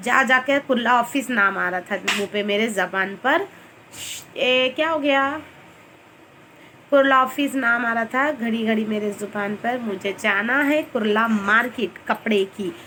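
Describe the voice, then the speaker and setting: A woman speaks at a very slow pace with ordinary pitch variation. Her pitch is fairly high. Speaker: vlogger. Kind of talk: casual chat. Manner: chatty, rambling.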